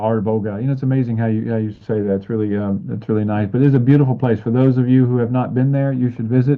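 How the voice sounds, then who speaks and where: This man talks at a very fast pace in an Alabama accent, his intonation fairly even. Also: medium pitch for a man, hardly any pauses. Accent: Southern US (Alabama). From US South, Alabama. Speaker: talk show host. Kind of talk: interview.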